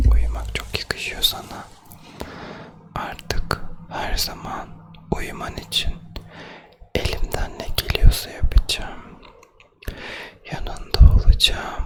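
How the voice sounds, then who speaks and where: A man whispers very slowly in a soothing tone, with long, frequent pauses and big swings in loudness. Background noise is noticeable. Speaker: ASMR creator. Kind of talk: ASMR sleep roleplay, soothing talk to the listener. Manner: whispered, soft, slow, soothing.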